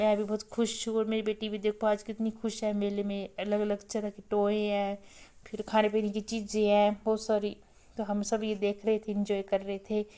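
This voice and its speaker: A woman's dark, mellow tone, fairly high pitch, moderate pace and monotone, flat intonation. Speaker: lifestyle vlogger, mother. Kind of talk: casual vlog narration.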